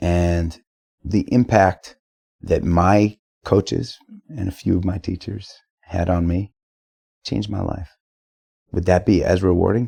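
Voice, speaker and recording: Somewhat breathy and dark, mellow in tone, a man with a very deep, low pitch speaks at a fairly slow pace with fairly even intonation and long, frequent pauses, in a dry, close sound with no echo. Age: 40s. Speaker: musician. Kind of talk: casual chat. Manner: halting.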